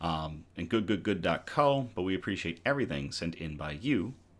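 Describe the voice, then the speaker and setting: A man speaks at a moderate pace in a very deep, low voice with an upbeat tone and very wide pitch swings. The recording is very clean, with a silent background. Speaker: news show host. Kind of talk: casual live-stream news show intro. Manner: upbeat, casual.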